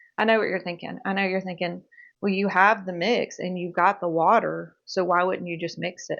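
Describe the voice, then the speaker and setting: A woman's medium-pitched voice with vocal fry at a moderate pace against a quiet background. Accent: Mississippi. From Mississippi. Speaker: home cooking video creator. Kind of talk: cooking tutorial. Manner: animated.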